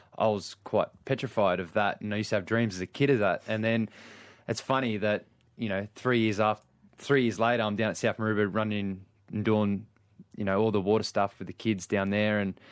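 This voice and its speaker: A man's fairly low, monotone and flat delivery at a fairly quick pace, with an Australian accent, on a very clean recording with a silent background. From Australia, Sydney. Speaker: lifeguard. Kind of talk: radio interview. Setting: radio studio.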